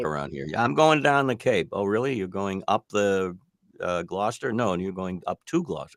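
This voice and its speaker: A man with an American accent speaks fairly quickly in an ordinary speaking voice, his fairly low pitch carried by lively intonation. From Boston area, Massachusetts. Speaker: radio broadcaster and voice-over artist. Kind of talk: radio interview answer.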